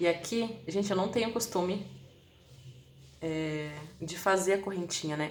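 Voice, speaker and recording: Room echo can be heard in this clip. A woman talks with lively intonation. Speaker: crochet instructor. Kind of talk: live-stream tutorial. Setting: live stream.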